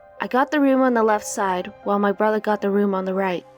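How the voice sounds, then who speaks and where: Music sounds in the background. Over it, the speech runs fairly quickly with ordinary pitch variation. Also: woman. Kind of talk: horror story narration.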